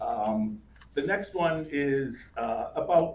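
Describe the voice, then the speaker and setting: A man talks with audible room echo around him. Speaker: poet. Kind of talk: casual remarks to audience; poetry reading. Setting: live reading with audience. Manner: loud.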